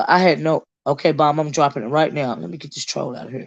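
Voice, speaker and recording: A woman with a Southern US accent and a very deep, low pitch, against a quiet background. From US South. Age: 50s. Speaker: YouTube commentary streamer. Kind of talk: live stream chat. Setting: livestream on a phone. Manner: casual, halting with many fillers.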